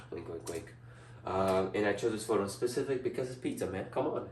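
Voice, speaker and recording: Speaking with a non-native accent, a man with a fairly low voice sounds animated amid noticeable background noise and audible room echo. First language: not English. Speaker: student. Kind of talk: class presentation. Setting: indoors presenting before a large TV screen.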